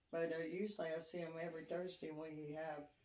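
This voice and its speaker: With audible room echo around her, a woman talks at a moderate pace in a fairly low pitch. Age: 60s. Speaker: interviewee, grandmother. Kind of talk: interview.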